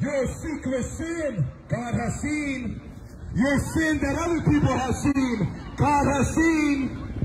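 Loud and extremely high-pitched, a man with an American accent speaks at a very slow pace amid noticeable background noise. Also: ordinary pitch variation. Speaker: street preacher. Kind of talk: street preaching sermon. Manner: loud, forceful, exhortative. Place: street.

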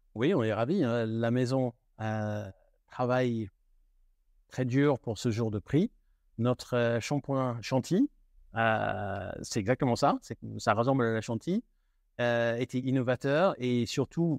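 The speech moves at a very slow pace with long, frequent pauses and ordinary pitch variation. The sound is dry and close with no echo, and the background is quiet. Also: man. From United Kingdom. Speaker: luxury retail manager. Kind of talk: interview. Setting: in a shop. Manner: halting.

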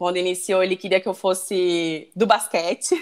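Against a quiet background, a woman talks at a moderate pace with a medium pitch. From Northeast Brazil (Natal, Rio Grande do Norte); Rio Grande do Norte, Brazil. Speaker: volleyball player; guest. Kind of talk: casual interview. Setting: video call. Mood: warm, cheerful, nostalgic. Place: home room. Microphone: earbuds.

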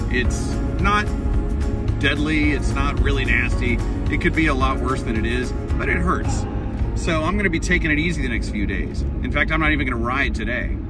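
Over loud background music, a man talks at a fairly quick pace, the sound dry with no echo. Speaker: mountain bike vlogger. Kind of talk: casual vlog chat. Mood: rueful, a bit sore. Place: car. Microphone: phone near.

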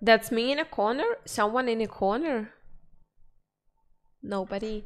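A woman with a Russian accent and a fairly high pitch talks at a moderate pace with ordinary pitch variation over a quiet background. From former Soviet region (Russian/Ukrainian, born in Kyrgyzstan); former Soviet region. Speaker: streamer. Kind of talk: casual chat. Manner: halting. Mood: relaxed, friendly. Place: home room. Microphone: studio mic.

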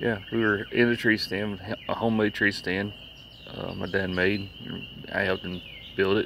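A man speaks at a moderate pace in a fairly low, monotone voice with flat intonation. The sound is dry with no echo, and there is light background noise. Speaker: vlogger. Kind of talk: casual vlog chat, storytelling. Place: street. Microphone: phone near.

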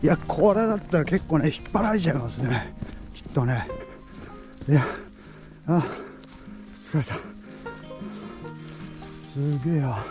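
Clear music plays behind a voice that moves at a moderate pace with long, frequent pauses, and the sound is dry with no echo. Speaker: rural farmer. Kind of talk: casual narration while filming outdoors. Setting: outdoors. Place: farm machine. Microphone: phone near.

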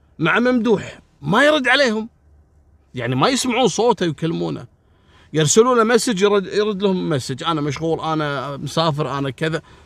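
Very wide pitch swings mark this fairly slow delivery, captured on a very clean recording with a silent background. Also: man, high pitch for a man. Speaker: crime storyteller. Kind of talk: storytelling narration. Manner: casual, colloquial.

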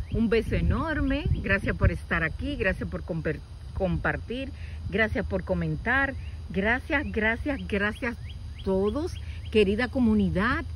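A woman's very slow speech, dry with no echo, over light background noise. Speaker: nature vlogger. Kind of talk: casual vlog chat. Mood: warm, delighted. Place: open country. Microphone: phone near.

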